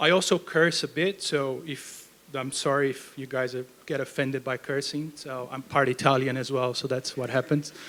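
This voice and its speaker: Speaking at a moderate pace with a Brazilian accent, a man uses a fairly high pitch and fairly even intonation. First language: Portuguese. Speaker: research program manager. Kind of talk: lecture. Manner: casual, with fillers.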